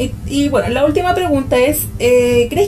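Over noticeable background noise and audible room echo, a woman with a Chilean accent talks at a fairly slow pace. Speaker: podcast host. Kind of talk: interview.

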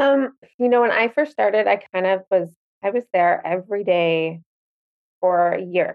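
Speaking in a Canadian accent, a woman with an ordinary speaking voice uses medium pitch, lively intonation and very even loudness at a fairly slow pace. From Winnipeg, Canada. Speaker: boutique owner. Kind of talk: casual interview chat.

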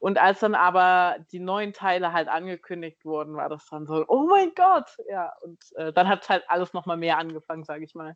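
In a plain, everyday voice, the speaker keeps a moderate pace with hardly any pauses, fairly even intonation and big swings in loudness, recorded with a dry, close sound with no echo over a quiet background. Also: woman, fairly low pitch for a woman. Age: 20s. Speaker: biochemist and cosplayer. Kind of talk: casual interview chat.

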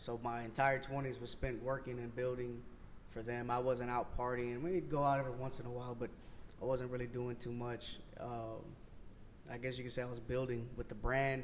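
At a moderate pace, a man with an American accent talks in a monotone, flat intonation, and audible room echo is present. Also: medium pitch for a man. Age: 30s. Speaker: streetwear brand owner. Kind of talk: casual interview.

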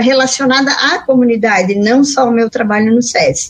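A woman's high voice at a moderate pace, ordinary pitch variation, noticeable background noise behind it. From western Santa Catarina, Brazil. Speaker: mentor and speaker. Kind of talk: radio interview.

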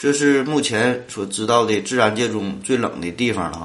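A man with a Northeastern Chinese accent speaks at a moderate pace and medium pitch, with ordinary pitch variation and audible room echo. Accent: Northeastern Mandarin. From Northeast China. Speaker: podcast host. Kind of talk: solo science podcast. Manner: casual, filler-heavy.

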